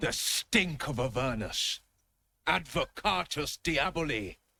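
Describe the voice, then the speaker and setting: Putting on a character voice, a man speaks at a fairly slow pace in a fairly high pitch. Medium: video game. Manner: stern, earnest.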